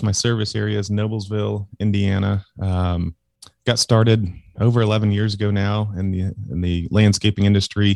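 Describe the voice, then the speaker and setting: An ordinary speaking voice, a man's at fairly low pitch with fairly even intonation and a moderate pace, in a dry, close sound with no echo against a quiet background. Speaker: landscaping business owner. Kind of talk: casual chat.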